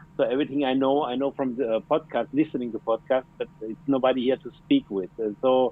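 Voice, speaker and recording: With a German accent, a man speaks at a fairly quick pace and medium pitch, hardly pausing and keeping his intonation fairly even. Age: 40s. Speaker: plumber. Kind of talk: casual interview. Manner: halting.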